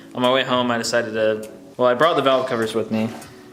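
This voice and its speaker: Against music in the background and audible room echo, a man talks with fairly even intonation. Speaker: car enthusiast YouTuber. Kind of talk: DIY vlog narration. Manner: monotone; casual, filler words.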